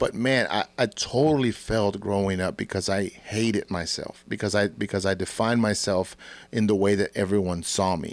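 On a very clean recording with a silent background, a man with a fairly low pitch speaks in a plain, everyday voice at a moderate pace, with ordinary pitch variation. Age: 40s. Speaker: podcast host and church youth leader. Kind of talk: casual chat.

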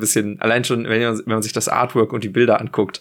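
A man with a medium pitch and fairly even intonation talks in an unremarkable speaking voice. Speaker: board game podcast co-host. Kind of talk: casual chat.

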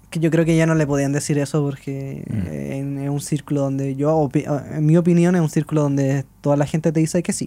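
A man with a Chilean accent, fairly high in pitch, dark and mellow in tone, with hardly any pauses. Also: fairly even intonation, moderate pace. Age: 20s. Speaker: journalist and musician. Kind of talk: casual chat.

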